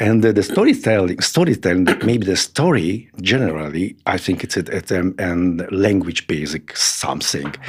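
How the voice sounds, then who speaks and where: A man speaks with a non-native accent at a fairly slow pace. The recording is very clean, with a silent background. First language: Hungarian. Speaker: sculptor and art teacher. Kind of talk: interview conversation. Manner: halting, searching for words.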